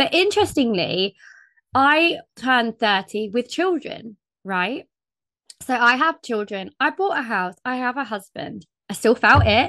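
Against a quiet background, a woman with a British accent and a fairly high pitch speaks at a fairly slow pace in a bright, sharp tone, the sound dry and close with no echo. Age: 30s. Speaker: podcast host. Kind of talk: casual chat.

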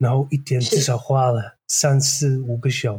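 A man's somewhat breathy, medium-pitched voice with monotone, flat intonation. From Netherlands. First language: Dutch (speaking Chinese). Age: 40s. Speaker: graduate student. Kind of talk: interview. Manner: halting.

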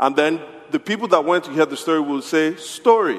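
Amid noticeable background noise, a man with a fairly high pitch talks at a fairly quick pace in an animated, playful tone. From Nigeria; Yoruba, West Africa. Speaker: pastor. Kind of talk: sermon; storytelling, call-and-response folk tale. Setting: church. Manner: animated, playful, inviting audience to answer.

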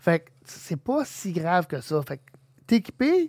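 A man talks at a fairly slow pace in a plain, everyday voice with lively intonation. The recording is very clean with a silent background, and the sound is dry and close with no echo. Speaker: homebrewing podcast host. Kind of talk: casual chat.

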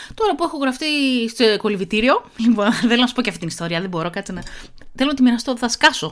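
Very fast, animated speech from a woman, fairly high-pitched, with lively intonation. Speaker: podcast host. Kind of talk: casual monologue with article reading.

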